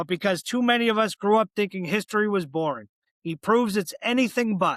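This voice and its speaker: A man with a Boston accent talks at a fairly quick pace in a high voice. His intonation is fairly even, and the sound is dry and close with no echo. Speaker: podcast host. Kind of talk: interview conversation; scripted introduction.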